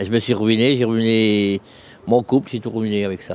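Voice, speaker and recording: This is a man speaking at a medium pitch. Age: 60s. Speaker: homeless man. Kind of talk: interview. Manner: halting.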